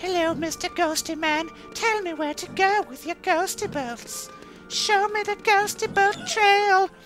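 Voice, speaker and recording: A woman's put-on character voice, squeaky and extremely high-pitched, at a fairly slow pace over clear background music. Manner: silly, playful, mocking.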